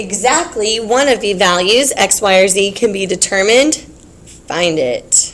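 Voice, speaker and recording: Lively intonation over noticeable background noise. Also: woman, medium pitch for a woman, fairly slow pace. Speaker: teacher. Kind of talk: classroom lecture.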